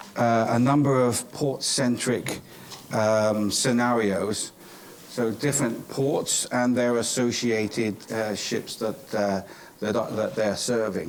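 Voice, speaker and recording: Audible room echo surrounds a very slow delivery. Loudness stays very even, and the intonation is fairly even too. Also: man, medium pitch for a man. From England, Cornwall. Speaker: professor. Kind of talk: conference closing remarks. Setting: conference stage with audience. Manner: hesitant, many fillers.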